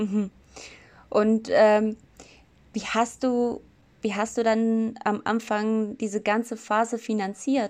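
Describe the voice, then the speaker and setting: A woman's fairly high voice in a flat, monotone delivery at a very slow pace, broken by long, frequent pauses. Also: very clean recording, silent background. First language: not German (speaking German). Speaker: podcast host, sociology student. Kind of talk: interview.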